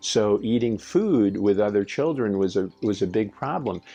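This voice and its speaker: Over music in the background, a man talks at a moderate pace with a fairly low pitch. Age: 70s. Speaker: spiritual teacher, channel host. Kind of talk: monologue talk. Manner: halting, many repeats.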